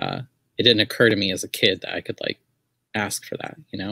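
Quiet background and a dry sound free of any echo. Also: man. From US Southwest. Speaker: artist and writer. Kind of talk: casual chat. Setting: video call. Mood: relaxed, reflective.

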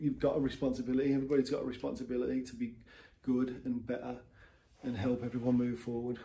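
Somewhat breathy and dark, mellow in tone, a man talks fairly quickly in a monotone, flat intonation over light background noise. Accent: English. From England. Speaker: vlogger. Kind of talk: monologue rant. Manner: halting. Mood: frustrated, emotional. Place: home room. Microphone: phone near.

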